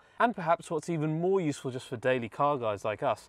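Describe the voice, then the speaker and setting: The recording of this man has a dry sound with no echo and a quiet background. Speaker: car channel host. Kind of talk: sponsor read. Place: car. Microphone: lapel.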